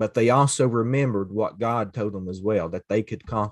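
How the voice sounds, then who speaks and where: Over a quiet background, a man with an Appalachian accent talks at a fairly slow pace with ordinary pitch variation. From Eastern Kentucky, Floyd County. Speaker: associate minister. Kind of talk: casual faith conversation.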